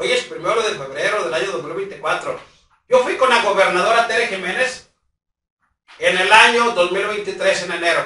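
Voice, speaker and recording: A man with a high pitch projects a raised voice, with audible room echo around him. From Mexico. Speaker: local news vlogger. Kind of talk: direct-to-camera public appeal. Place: home room. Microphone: camera far.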